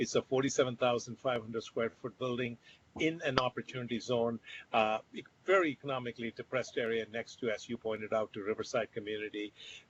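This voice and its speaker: At a very fast pace, a man speaks somewhat breathily at a medium pitch with fairly even intonation. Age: 60s. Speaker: company founder and CEO. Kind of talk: virtual interview.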